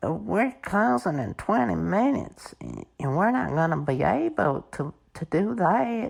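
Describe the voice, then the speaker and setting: A man puts on a character voice in a drawling Southern US accent, fairly high in pitch with very wide swings. He talks at a fairly slow pace with hardly any pauses. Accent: Southern American. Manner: mocking, exaggerated drawl.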